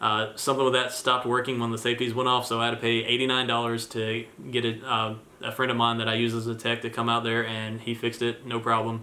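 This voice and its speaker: With noticeable background noise around him, a man delivers fairly quick speech in a monotone, flat intonation. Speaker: vlogger and landlord. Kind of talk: casual vlog talk to camera. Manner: hesitant, many fillers.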